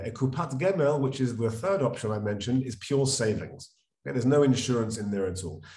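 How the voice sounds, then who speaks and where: Somewhat breathy and at a fairly quick pace, a man with a London accent speaks at a medium pitch with ordinary pitch variation, and the room echo is audible. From London, England. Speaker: financial advisor. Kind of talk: interview. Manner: conversational with fillers.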